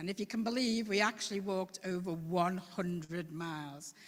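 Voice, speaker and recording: This woman speaks with a Scouse accent. Her pitch sits fairly low. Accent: Liverpool (Scouse), still present. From Liverpool. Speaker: citizens' assembly member. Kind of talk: presentation at council meeting. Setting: council chamber meeting.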